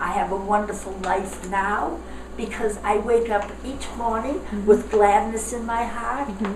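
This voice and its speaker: With noticeable background noise, a woman talks at a moderate pace in a fairly high pitch. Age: 80s+. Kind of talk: interview answer. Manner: upbeat.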